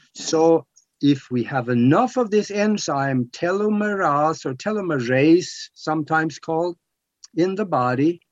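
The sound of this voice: Speaking at a fairly slow pace, a man with a fairly high pitch uses lively intonation.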